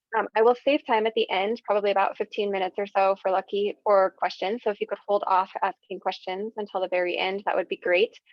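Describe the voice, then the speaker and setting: Speaking at a very fast pace, a woman keeps a monotone, flat intonation. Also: medium pitch for a woman. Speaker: workplace wellness trainer. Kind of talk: online training presentation.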